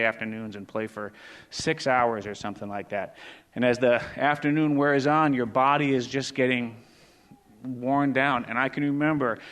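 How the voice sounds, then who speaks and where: A man talks at a moderate pace with fairly even intonation. He has a normal speaking voice, and the background is quiet. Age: 60s. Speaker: pastor. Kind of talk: sermon.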